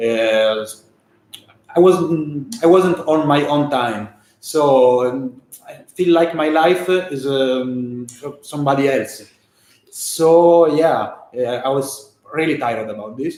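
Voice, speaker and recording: A man with an Italian accent, fairly high pitch and ordinary pitch variation, at a very slow pace with long, frequent pauses. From Italy. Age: 40s. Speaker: stock trader. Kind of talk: casual chat. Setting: livestream. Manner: halting.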